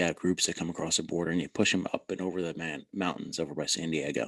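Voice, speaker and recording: A man with a very deep, low pitch and a New Jersey accent, talking very fast against a quiet background. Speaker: former border agent and army officer. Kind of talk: interview. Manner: casual.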